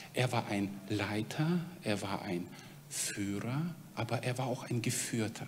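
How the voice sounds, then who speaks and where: Against noticeable background noise and audible room echo, a man with a medium pitch speaks very slowly with lively intonation. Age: 40s. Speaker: preacher at a mission organization. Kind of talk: sermon.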